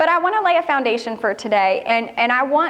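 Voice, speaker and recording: A woman talks in a high pitch with lively intonation. Audible room echo and noticeable background noise fill the recording. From northern Kentucky. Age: young. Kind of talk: talk at a women's church event. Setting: church hall with audience.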